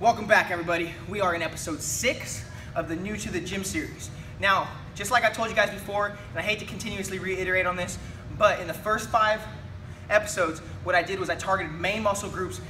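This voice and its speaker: Noticeable background noise surrounds the clip. A man talks very fast at a high pitch. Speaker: fitness vlogger. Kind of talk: tutorial. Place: gym.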